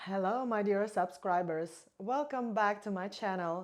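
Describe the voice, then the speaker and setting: A woman with a Russian accent at medium pitch, fairly slow, with ordinary pitch variation against a quiet background. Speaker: vlogger. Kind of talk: casual monologue to camera.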